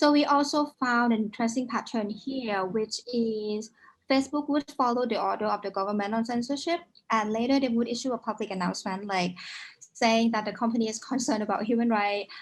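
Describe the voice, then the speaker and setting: An unremarkable speaking voice from a woman, fairly high in pitch, with ordinary pitch variation and a fairly quick pace. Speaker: founder of a digital rights organization, event host. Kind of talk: report presentation at an online launch event.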